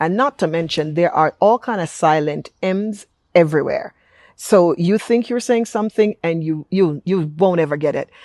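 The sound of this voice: An unremarkable speaking voice, a woman at fairly low pitch, moderate pace and ordinary pitch variation, with dry, close sound and no echo. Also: quiet background.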